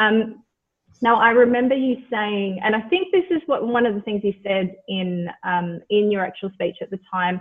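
Speaking in an Australian accent, a woman with a fairly high pitch talks at a moderate pace with ordinary pitch variation. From Australia (born Mauritius, moved at four). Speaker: podcast host. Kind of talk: interview.

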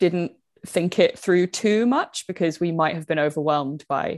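With a British accent, a woman speaks at a fairly low pitch with ordinary pitch variation. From Britain. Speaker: magazine founder and knitter.

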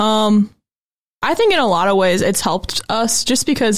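Here a woman with an American accent speaks at a moderate pace and fairly high pitch, with lively intonation. She has an unremarkable speaking voice, in a very clean recording with a silent background. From Goshen, Indiana, US Midwest. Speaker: graphic designer and author. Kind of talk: casual interview chat.

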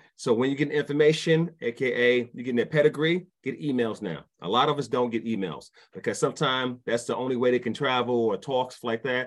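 A man with a New York accent talks fairly quickly at medium pitch, with ordinary pitch variation and hardly any pauses. The background is quiet. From New York, Brooklyn. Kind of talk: casual chat.

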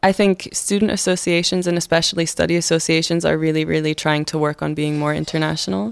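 With a Scottish accent, a woman talks at a fairly quick pace and a fairly low pitch. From Scotland. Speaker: university student. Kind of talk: casual interview.

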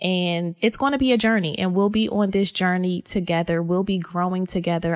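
A woman with an American accent, a normal speaking voice at medium pitch and moderate pace, in a very clean recording with a silent background and a dry, close sound with no echo. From US, Philadelphia. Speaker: podcast host, faith brand founder. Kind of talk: casual solo podcast talk.

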